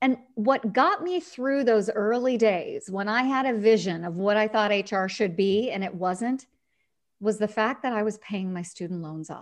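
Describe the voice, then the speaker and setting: It has ordinary pitch variation and a moderate pace. This is a plain, everyday voice. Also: woman, fairly high pitch for a woman. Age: 40s. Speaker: HR consultant and author. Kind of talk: interview.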